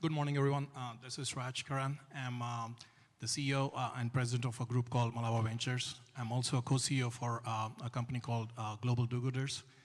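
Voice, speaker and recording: On a very clean recording with a silent background, a man talks very fast at a medium pitch, somewhat breathy and in a monotone, flat intonation. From India, Hyderabad. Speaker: investor and entrepreneur, panelist. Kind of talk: panel discussion. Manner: hesitant, many filler sounds.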